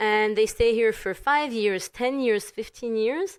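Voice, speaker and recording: A woman with a French accent, fairly high-pitched with ordinary pitch variation, at a fairly slow pace in a very clean recording with a silent background. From Paris, France. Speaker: community event organizer. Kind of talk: casual chat. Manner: animated.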